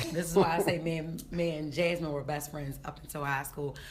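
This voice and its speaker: Raspy and somewhat breathy, a woman speaks at a fairly quick pace with a very deep, low pitch. Room echo is audible. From West Baltimore, Maryland. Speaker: comedian. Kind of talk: casual interview. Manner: animated.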